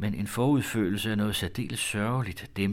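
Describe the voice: Simple, plain reading aloud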